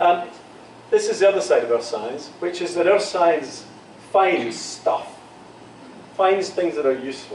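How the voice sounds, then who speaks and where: Lively intonation marks a man's high-pitched voice as he speaks at a fairly slow pace. Audible room echo and noticeable background noise surround him. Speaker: geoscience professor. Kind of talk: lecture. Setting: university lecture room with students. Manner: deliberately slow.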